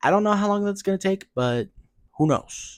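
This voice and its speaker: Soft-spoken, a man talks with lively intonation. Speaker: gaming streamer. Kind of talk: casual vlog talk. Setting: at home, early morning. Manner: soft-spoken, keeping voice down; normally loud talker.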